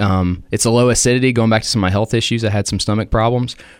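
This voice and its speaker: Talking at a very fast pace, a man with a Tennessee accent shows ordinary pitch variation. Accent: Tennessee Southern US. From Cookeville, Tennessee, US South. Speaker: coffee shop owner and pastor. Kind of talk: radio interview.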